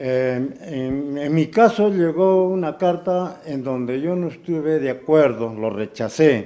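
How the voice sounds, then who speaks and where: Speaking very slowly, a man uses lively intonation in a fairly high pitch. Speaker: former telecom worker. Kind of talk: testimony. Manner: halting.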